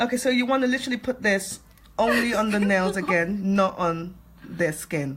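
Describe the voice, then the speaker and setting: With a British accent, a woman at a medium pitch uses lively intonation while keeping her loudness very even. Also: moderate pace. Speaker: nail technician. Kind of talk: tutorial. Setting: livestream from home salon. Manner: soft-spoken.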